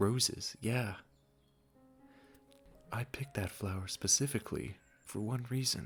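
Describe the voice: A put-on character voice moves at a slow pace with ordinary pitch variation and a slightly husky edge. Faint music plays in the background. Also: man, fairly low pitch for a man.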